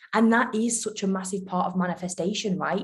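A somewhat breathy woman's voice at medium pitch, with fairly even intonation. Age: 20s. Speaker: podcast host. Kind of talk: casual chat.

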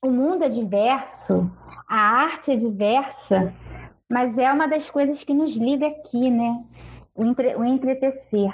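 A woman with a high pitch talks at a fairly slow pace, her loudness very even throughout. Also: ordinary pitch variation. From Rio de Janeiro. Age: 40s. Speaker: web show host. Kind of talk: casual chat.

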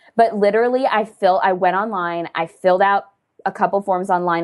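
A woman at a medium pitch with ordinary pitch variation, a fairly quick pace, and a quiet background. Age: 20s. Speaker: author and blogger. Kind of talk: casual chat. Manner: animated.

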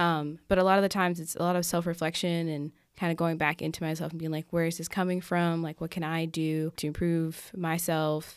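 A woman in an American accent, fairly low in pitch for a woman, monotone and flat, at a fairly quick pace with hardly any pauses, on a very clean recording with a silent background. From Massachusetts / US Northeast, later North Carolina. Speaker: college student, resident assistant, artist. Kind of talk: casual interview. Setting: studio.

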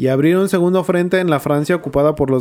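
A man talks in a dark, mellow tone. His pitch varies an ordinary amount. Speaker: podcast co-host. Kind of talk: casual storytelling about history.

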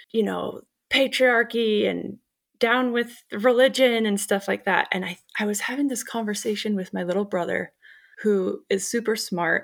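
A normal speaking voice with an American accent moves at a moderate pace, with ordinary pitch variation, in a very clean recording with a silent background. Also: woman. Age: 30s. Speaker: podcast host and life coach. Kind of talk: casual interview conversation.

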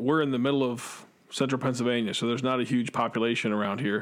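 The recording is very clean, with a silent background. A man with an ordinary speaking voice talks at a fairly quick pace and medium pitch, with ordinary pitch variation. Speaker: podcast host. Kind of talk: casual chat.

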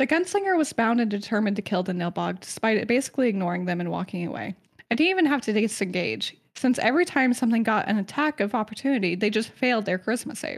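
A woman with a fairly high voice talks at a very fast pace. Her tone is animated and her intonation lively. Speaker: podcast co-host presenting lore. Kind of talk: casual chat, lore presentation. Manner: laughs often, animated.

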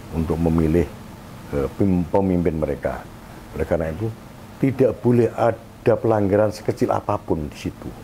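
Very deep and low, a man's somewhat breathy voice has a dark, mellow tone and long, frequent pauses. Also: fairly quick pace. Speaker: election ethics council chair, former journalist. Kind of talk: radio interview. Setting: guest's office. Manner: halting.

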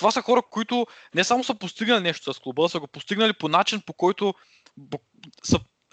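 A man with a high, bright and sharp voice swings his pitch very widely and leaves long, frequent pauses, in a dry, close sound with no echo. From Bulgaria, Shumen region. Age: 20s. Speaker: podcast host, linguistics student. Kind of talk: casual chat. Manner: halting.

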